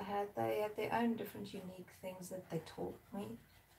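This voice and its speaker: A woman with a South African accent at a moderate pace. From South Africa, Durban. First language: Zulu. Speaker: artist. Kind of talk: casual live-stream chat while painting. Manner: relaxed, chatty.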